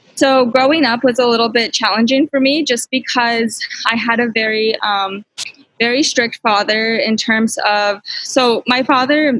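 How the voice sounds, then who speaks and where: A woman talks at a fairly slow pace. Her pitch is fairly high and her intonation fairly even. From Canada (London, Ontario), immigrant family. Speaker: real estate investor. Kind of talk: personal story talk.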